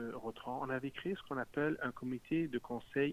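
This man has a fairly high pitch and an unremarkable speaking voice. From Montreal. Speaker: municipal politician. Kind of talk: political interview.

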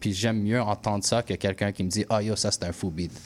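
Moderately paced male speech, fairly low in pitch, with ordinary pitch variation. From Quebec, anglophone household. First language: English (speaking French). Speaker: musician, rapper. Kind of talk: radio interview. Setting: radio studio. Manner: halting, many repetitions.

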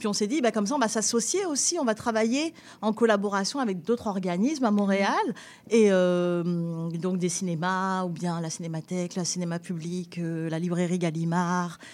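In a very clean recording with a silent background, a woman with a plain, everyday voice speaks at medium pitch and a moderate pace, with ordinary pitch variation. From southern France, near Nice. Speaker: festival founder and director. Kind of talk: radio interview.

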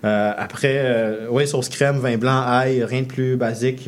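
A man's voice sits at a medium pitch with fairly even intonation while noticeable background noise carries on behind him. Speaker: chef. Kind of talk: radio interview. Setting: radio studio.

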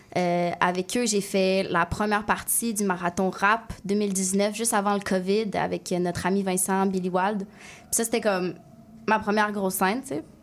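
A woman in a Quebec accent speaks fairly slowly at a medium pitch, her intonation flat and monotone. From Quebec City, Limoilou. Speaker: singer and rapper. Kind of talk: radio interview.

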